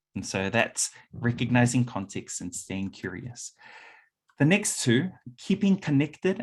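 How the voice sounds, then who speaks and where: A man's medium-pitched voice with a New Zealand accent, fairly slow, with very wide pitch swings. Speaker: workshop presenter. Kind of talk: conference talk.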